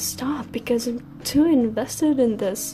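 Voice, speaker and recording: Over music in the background and audible room echo, a woman speaks at a fairly slow pace with a non-native accent. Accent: noticeable non-native. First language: not English. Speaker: art vlogger. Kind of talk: casual chat. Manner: soft-spoken; halting.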